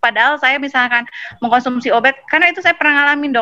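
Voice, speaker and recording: This woman's voice sits high, with ordinary pitch variation. There is no echo, and the sound is dry and close. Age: 30s. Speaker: online seminar participant asking a question. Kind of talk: question in online Q&A. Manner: halting, many fillers.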